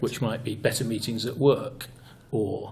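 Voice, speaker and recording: Somewhat breathy and at a medium pitch, a man speaks at a fairly slow pace with monotone, flat intonation. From United Kingdom. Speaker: improv trainer and author, guest. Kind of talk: interview answer, explaining improv training.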